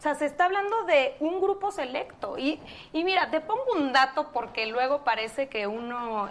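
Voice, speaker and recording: A woman with a high pitch speaks at a fairly slow pace, her voice making very wide pitch swings. Noticeable background noise runs behind her. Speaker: political campaign spokeswoman. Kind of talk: political debate.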